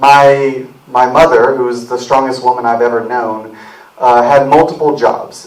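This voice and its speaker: Someone with an American accent speaks at a moderate pace over noticeable background noise and audible room echo. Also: man. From rural South Carolina. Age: 30s. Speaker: political candidate, army veteran. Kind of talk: campaign speech. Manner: casual, hesitant.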